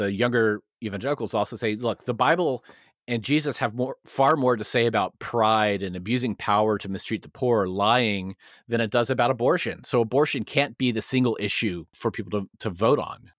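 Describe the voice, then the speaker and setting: A man's plain, everyday voice at a medium pitch, with ordinary pitch variation and a fairly quick pace, recorded dry and close with no echo, very clean, against a silent background. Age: 30s. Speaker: marketing executive and former pastor. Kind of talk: casual interview.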